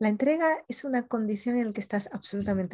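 A woman speaks very fast in a somewhat breathy voice with a dark, mellow tone and lively intonation. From Colombia. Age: 50s. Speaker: journalist and coach. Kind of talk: interview.

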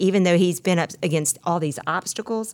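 With a Mississippi accent, a woman talks in a fairly low pitch with ordinary pitch variation on a very clean recording with a silent background. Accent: US Southern (Mississippi). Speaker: podcast co-host. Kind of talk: reflective conversation segment. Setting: studio.

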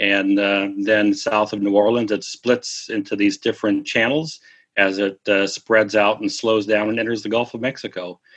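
A man with a Midwestern American accent speaks at a moderate pace in a fairly low pitch against a quiet background. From US Midwest (Missouri, southern Minnesota). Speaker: mystery writer and travel guidebook author. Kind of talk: interview.

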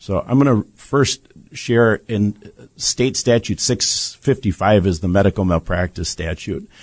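A man with an ordinary speaking voice talks at a fairly slow pace and a fairly low pitch, with ordinary pitch variation. The sound is dry and close with no echo, over a quiet background. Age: 60s. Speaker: bereaved father and medical-justice advocate. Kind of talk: studio interview. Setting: studio.

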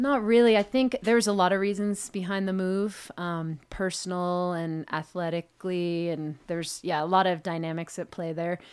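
A woman with a normal speaking voice talks at a moderate pace, medium in pitch, with ordinary pitch variation and hardly any pauses. The recording is very clean, with a silent background. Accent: American. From Hong Kong and New York City. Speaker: ski mountaineer. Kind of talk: interview.

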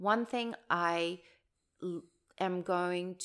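On a very clean recording with a silent background, a woman speaks with a New Zealand accent. Her voice sits at a fairly low pitch. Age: 40s. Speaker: wellness coach and brand consultant. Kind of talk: casual chat. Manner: animated.

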